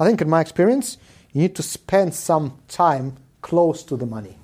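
Recorded very cleanly against a silent background, the voice sounds dark, mellow and somewhat breathy, with ordinary pitch variation. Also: man. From Israel and South Africa, born in Soviet Union. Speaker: venture capital investor. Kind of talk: casual interview chat. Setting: in-person recording.

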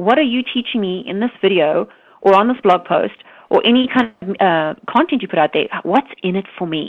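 A woman talks at a fairly quick pace with lively intonation. Her pitch is medium.

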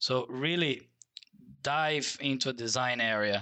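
A man speaks with a Portuguese accent and ordinary pitch variation. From Brazil. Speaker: transportation designer. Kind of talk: interview.

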